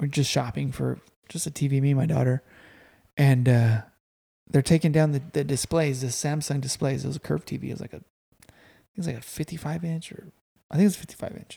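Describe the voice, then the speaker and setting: The tone is dark and mellow, somewhat breathy, with fairly even intonation. Loudness swings widely from moment to moment. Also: man, fairly high pitch for a man, fairly quick pace. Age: 30s. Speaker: podcast host. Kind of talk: casual chat. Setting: guest's home.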